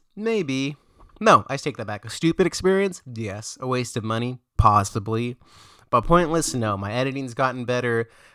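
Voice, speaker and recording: A mumbling man at medium pitch with a bright, sharp tone, lively intonation and big swings in loudness, in a very clean, dry, close recording with no echo and a silent background. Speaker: food vlogger. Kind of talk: casual vlog review. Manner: fast.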